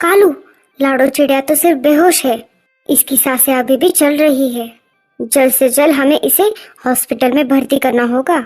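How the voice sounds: A female-sounding voice performs a cartoonish character. Music plays in the background. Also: moderate pace.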